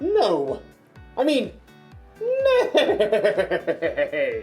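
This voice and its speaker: A put-on character voice at an extremely high pitch plays over faint music in the background. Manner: comical, quirky.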